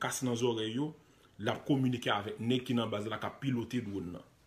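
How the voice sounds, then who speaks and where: A man talks at a moderate pace in a medium pitch, somewhat breathy. The recording is very clean, with a silent background. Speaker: online commentator, news video host. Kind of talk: live video commentary on news footage. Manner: animated.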